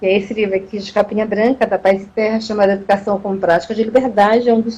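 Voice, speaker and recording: Speaking at a very fast pace, a woman has a somewhat breathy voice with a fairly high pitch and a dark, mellow tone. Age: 60s. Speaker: professor. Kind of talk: live talk. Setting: Instagram live video. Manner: halting, with repetitions.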